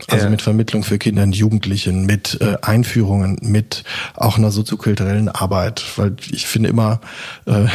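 A somewhat breathy man's voice at a fairly low pitch, fairly quick in pace and fairly even in intonation. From South Baden, Germany (near Basel). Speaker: opera house director. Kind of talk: casual interview. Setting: at home.

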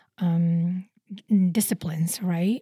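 In a dry, close sound with no echo, a woman speaks at a fairly low pitch, her tone dark and mellow, somewhat breathy, with fairly even intonation. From Indonesia. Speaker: product designer. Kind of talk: interview. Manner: halting, with many fillers.

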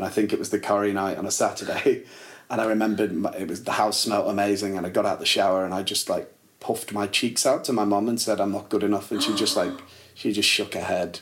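With a northern English accent, a man talks at a very fast pace. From northern England, Liverpool and Warrington. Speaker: actor and musician. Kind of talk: casual chat. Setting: at the host's home.

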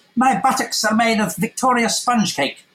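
Shouting in a put-on character voice, the speaker sounds shrill and fairly high-pitched at a moderate pace. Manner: manic, shouting.

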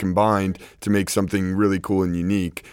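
A man with an American accent talks in a very deep, low pitch. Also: very clean recording, silent background. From New York City. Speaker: DJ and party promoter. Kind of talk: panel discussion. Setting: live recording with audience.

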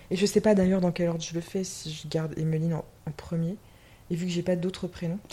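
Fairly low in pitch, a woman speaks at a very fast pace in a dark, mellow, somewhat breathy tone. Her intonation is monotone and flat. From western France. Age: 20s. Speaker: podcast guest. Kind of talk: casual chat. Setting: indoors, drinking champagne.

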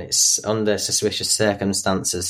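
He speaks in a Yorkshire accent. His voice is a man's, fairly low in pitch. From northern England, Yorkshire (Doncaster). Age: young. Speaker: abuse survivor. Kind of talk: testimony. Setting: remote call.

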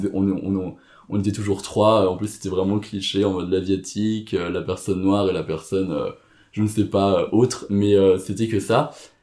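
Recorded very cleanly against a silent background, a man talks at a moderate pace in a fairly low voice with a dark, mellow tone. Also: fairly even intonation. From France. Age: 20s. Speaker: interviewee sharing adoption story. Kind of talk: personal testimony interview. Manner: hesitant, many fillers and repetitions.

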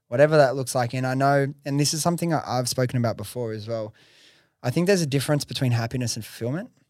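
On a very clean recording with a silent background, a man with a Western Sydney accent talks very fast at a medium pitch with ordinary pitch variation. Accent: Western Sydney Australian. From Australia (Western Sydney). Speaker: podcast host and entrepreneur. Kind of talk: casual interview. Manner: casual, swears.

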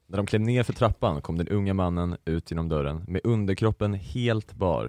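The recording is very clean, with total silence behind the man's voice. It sounds dry and close-miked, free of any echo. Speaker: podcast host. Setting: studio.

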